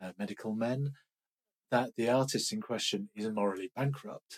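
With a normal speaking voice, a man talks at medium pitch with ordinary pitch variation, the sound dry and close with no echo. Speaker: stage actor. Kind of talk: casual interview chat.

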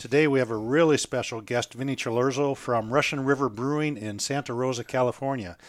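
With an American accent and an ordinary speaking voice, a man at medium pitch talks at a fairly quick pace, with hardly any pauses and fairly even intonation. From Minnesota. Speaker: podcast host at a hop supplier. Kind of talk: casual interview chat.

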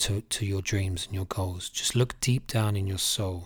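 A man's fairly low, somewhat breathy voice at a fairly slow pace, on a very clean recording with a silent background. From UK, Irish family. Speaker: fitness coach and life coach. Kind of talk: motivational podcast monologue.

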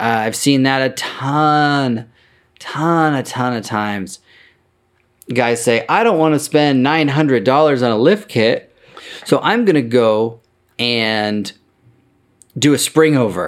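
A man speaks at a fairly slow pace with lively intonation. His pitch sits in the medium range. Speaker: podcast host and vintage truck parts seller. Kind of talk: casual solo monologue. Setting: office in a barn. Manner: rambling, with many filler words.

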